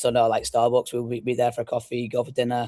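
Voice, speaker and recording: A man with an English accent speaks at medium pitch. The sound is dry and close, with no echo. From northwest England (Blackpool). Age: 30s. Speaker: youth soccer club founder and coach. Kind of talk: podcast interview. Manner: fast-talking.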